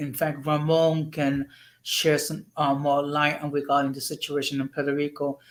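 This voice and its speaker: Delivered at a moderate pace, the speech sits on a very clean recording with a silent background. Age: 60s. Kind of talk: casual chat. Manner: halting.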